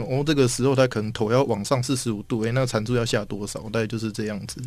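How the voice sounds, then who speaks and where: Against audible room echo, a man speaks at medium pitch with fairly even intonation. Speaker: software engineer. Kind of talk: casual interview chat.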